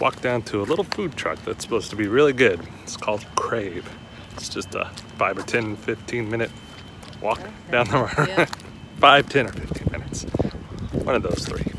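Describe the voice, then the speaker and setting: A man at a moderate pace with long, frequent pauses and big swings in loudness, in a dry sound with no echo and noticeable background noise. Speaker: sailing vlogger. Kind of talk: casual vlog chat. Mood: relaxed, lightly amused. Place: street. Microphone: phone near.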